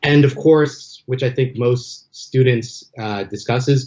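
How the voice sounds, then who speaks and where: A man's somewhat breathy, medium-pitched voice with an American accent at a moderate pace. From Los Angeles, US West Coast. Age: 40s. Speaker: MBA graduate, entertainment development professional. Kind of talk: podcast interview. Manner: some hesitations and repeated words.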